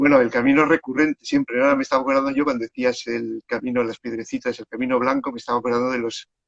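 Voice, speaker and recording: This man's voice sits at a medium pitch, with fairly even intonation and a dry, close sound that has no echo. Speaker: children's book author and storyteller. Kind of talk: casual chat. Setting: Instagram live video call. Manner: calm.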